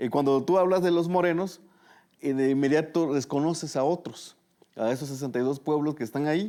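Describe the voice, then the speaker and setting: This man talks at a fairly quick pace, with a fairly high pitch, ordinary pitch variation and a dark, mellow tone. The recording is very clean, with a silent background. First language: Tu'un Savi (Mixtec) (speaking Spanish). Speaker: journalist. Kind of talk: interview conversation.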